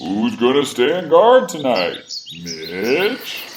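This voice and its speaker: A man's cartoonish character voice, medium in pitch and very slow, over clear background noise. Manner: demanding.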